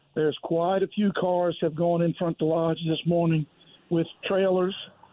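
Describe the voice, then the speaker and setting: A man's high voice with an American accent at a moderate pace. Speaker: charter fishing captain. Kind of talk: casual chat.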